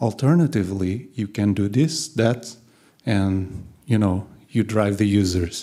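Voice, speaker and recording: Against a quiet background, a man talks at a fairly low pitch and fairly slow pace, his tone dark and mellow, with ordinary pitch variation. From Portugal (Lisbon); Portugal. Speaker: designer; conference speaker. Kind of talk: conference talk. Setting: stage with audience. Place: hall. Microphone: handheld.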